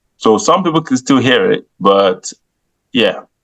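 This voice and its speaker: A man's voice with a slight Nigerian accent and very wide swings in pitch. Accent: slight Nigerian twang in British English. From Nigeria, moved to England as a child in 1996. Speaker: comedian. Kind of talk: podcast interview.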